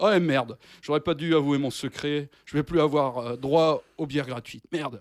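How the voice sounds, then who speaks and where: Fairly even intonation marks this man's voice in a very clean recording with a silent background. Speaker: radio columnist. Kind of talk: radio show segment, partly scripted. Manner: loud.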